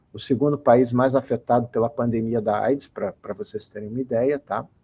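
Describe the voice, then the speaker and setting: At a moderate pace, a man with a medium pitch talks in an ordinary speaking voice. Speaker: engineer and metrology researcher giving a guest lecture. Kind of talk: online lecture. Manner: frequent fillers and repetitions. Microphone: voice cutting out, unstable connection.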